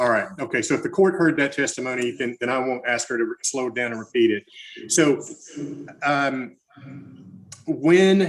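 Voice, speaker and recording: A man's fairly high voice, ordinary pitch variation, long and frequent pauses. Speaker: lawyer. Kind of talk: witness examination. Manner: slow.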